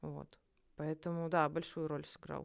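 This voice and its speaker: A woman with a fairly low voice talks at a moderate pace on a very clean recording with a silent background. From Russia, Nizhny Novgorod. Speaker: psychologist. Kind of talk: casual chat. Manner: animated.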